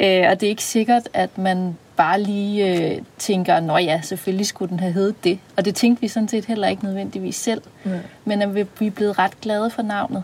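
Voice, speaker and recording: This woman's medium-pitched, somewhat breathy voice moves at a moderate pace with fairly even intonation. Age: 30s. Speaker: podcast co-host, psychologist. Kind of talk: casual chat; scripted narration.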